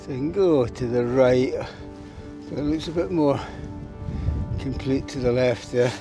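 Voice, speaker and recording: Over music in the background, a man speaks at a medium pitch and a fairly slow pace with lively intonation. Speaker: mountaineer, ice climber. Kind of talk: casual talk to camera. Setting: outdoors.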